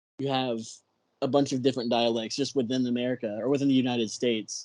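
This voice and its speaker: A man speaks with a Texan accent at a fairly quick pace. His intonation is monotone and flat. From Texas. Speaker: film podcast host. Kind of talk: casual chat.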